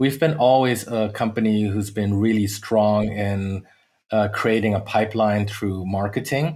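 A man talks at a fairly slow pace. His fairly low voice keeps a fairly even intonation. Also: very clean recording, silent background. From Latin America (Peru, Bolivia, Venezuela), born in the US. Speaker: tech sales executive. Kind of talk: interview. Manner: hesitant, many fillers.

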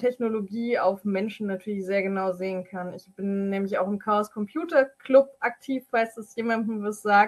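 This is a plain, everyday voice with fairly even intonation. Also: woman. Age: 20s. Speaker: IT security specialist and powerlifter. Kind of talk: explanatory interview.

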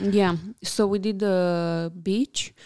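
Speaking in a Romanian accent, a woman uses a medium pitch and a dark, mellow tone. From Romania, Bucharest. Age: 30s. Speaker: architect and interior designer. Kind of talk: casual interview chat. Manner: hesitant, many fillers.

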